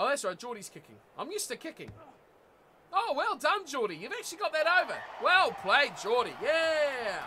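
The speaker has a New Zealand accent and a moderate pace. Noticeable background noise runs underneath. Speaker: gaming streamer. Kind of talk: casual livestream chat while playing a game. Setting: livestream, home studio. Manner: animated, chatty.

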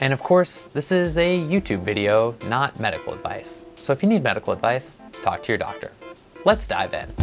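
A man at a moderate pace with clear music in the background. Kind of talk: educational explainer. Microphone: lapel.

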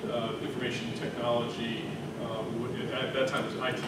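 A man speaks at a moderate pace amid loud background noise and audible room echo. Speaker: conference presenter. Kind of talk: conference presentation. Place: hall.

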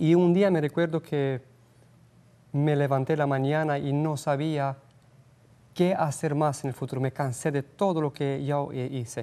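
A man with a Romanian accent speaks at a fairly high pitch in a dark, mellow tone. His pace is fairly slow, his intonation fairly even, and his pauses long and frequent. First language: Romanian (speaking Spanish). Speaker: missionary; guest. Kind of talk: interview. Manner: halting. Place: studio. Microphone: lapel.

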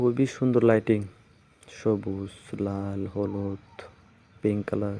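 Monotone, flat intonation from a man with a fairly low voice. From Tripura, India. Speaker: vlogger. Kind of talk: walking vlog narration. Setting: outdoors. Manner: casual, fragmented.

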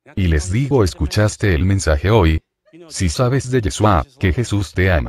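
Over light background noise with a dry sound and no echo, a man speaks at a fairly slow pace in an intense, dramatic tone, with a very deep, low pitch, vocal fry and very wide pitch swings. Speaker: preacher. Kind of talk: fiery sermon with testimony, confronting the congregation. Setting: church, live preaching. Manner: intense, forceful, dramatic, animated storytelling. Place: church. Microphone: handheld.

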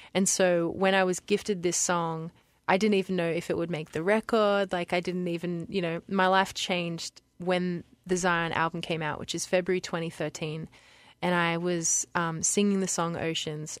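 A woman speaks with an Australian accent in a fairly low pitch and a monotone, flat intonation. The recording is very clean, with a silent background and a dry, close sound with no echo. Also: moderate pace. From Lismore, New South Wales, Australia. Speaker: worship singer. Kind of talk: radio interview answer.

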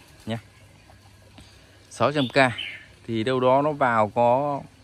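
Fairly even intonation, with a dry sound without echo and light background noise. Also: man. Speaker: orchid seller. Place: garden. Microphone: phone near.

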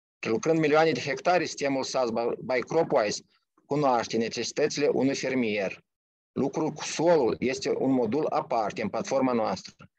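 Against a quiet background, a man talks at a moderate pace with ordinary pitch variation in a dry sound with no echo. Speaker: technical department director, company presenter; presenter. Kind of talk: company pitch. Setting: video call.

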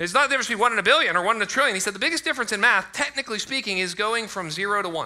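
Against a quiet background, a man speaks very fast in a raised, projected voice with lively intonation and hardly any pauses. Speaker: pastor. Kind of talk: sermon. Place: church. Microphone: headset.

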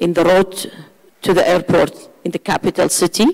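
A woman speaks with a Kurdish accent over a quiet background. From Iraqi Kurdistan. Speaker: former member of parliament; panelist. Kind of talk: panel discussion. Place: hall. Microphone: handheld.

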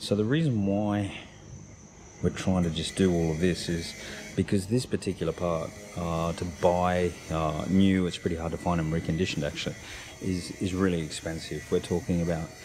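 Noticeable background noise surrounds a man with a very deep, low pitch. His intonation is fairly even. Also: moderate pace. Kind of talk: tutorial. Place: boat. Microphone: phone near.

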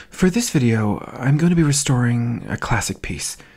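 Against a quiet background, a man speaks at a moderate pace, somewhat breathy, with lively intonation. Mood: dry, mock-serious.

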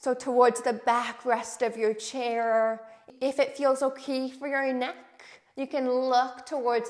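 The pace is very slow, with a calm, soothing tone and monotone, flat intonation. The background is quiet. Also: woman. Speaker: yoga instructor. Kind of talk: guided chair yoga class with breathing and meditation cues. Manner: calm, slow, soothing and gentle; encouraging, welcoming and inclusive. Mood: calm, encouraging. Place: home room. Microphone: lapel.

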